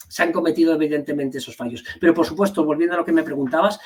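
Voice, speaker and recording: Talking at a very fast pace with an Asturian accent, a man uses a fairly high pitch and ordinary pitch variation. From Asturias, Spain (Gijón). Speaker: party leader and teacher. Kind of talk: interview. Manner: halting, many fillers and repetitions.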